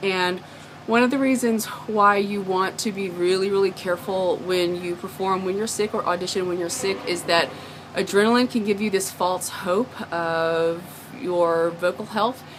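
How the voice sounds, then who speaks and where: With noticeable background noise behind her, a woman talks at a moderate pace in a medium pitch, her intonation fairly even. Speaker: singer and performer. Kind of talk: casual talk to camera. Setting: outdoors behind a pub.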